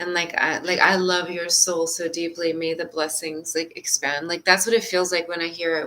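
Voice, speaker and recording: Fairly low in pitch, a woman is speaking. Her intonation stays fairly even. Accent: non-native. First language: not English. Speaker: spiritual session guide. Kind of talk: spiritual session.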